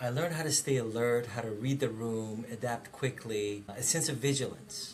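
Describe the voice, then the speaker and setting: A man with a Persian accent speaks at a medium pitch and moderate pace with ordinary pitch variation, with audible room echo and noticeable background noise. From Iran, then Fargo, North Dakota from age ten. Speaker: director of operations, interviewee. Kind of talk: personal testimony. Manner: reflective, with frequent hesitations.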